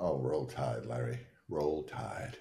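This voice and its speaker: A man puts on a raspy character voice at a very deep, low pitch, with audible echo around him. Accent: Southern US. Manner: comic.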